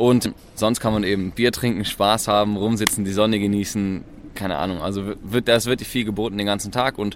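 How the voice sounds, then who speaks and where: The man talks very fast in a fairly low pitch, his intonation fairly even. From Tübingen, Baden-Württemberg, southwestern Germany. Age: 20s. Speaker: university student, co-founder of a student group. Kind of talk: casual interview. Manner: casual, relaxed.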